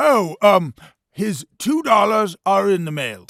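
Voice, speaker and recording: A man's cartoonish character voice, high-pitched for a man, at a fairly slow pace. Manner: brusque, bossy.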